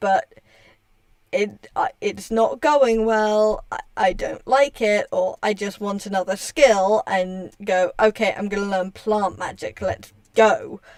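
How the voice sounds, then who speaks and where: Delivered at a very slow pace, the speech has a dry, close sound with no echo. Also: woman. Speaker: streamer and hobby writer. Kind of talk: casual livestream chat. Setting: livestream while gaming. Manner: halting, many restarts.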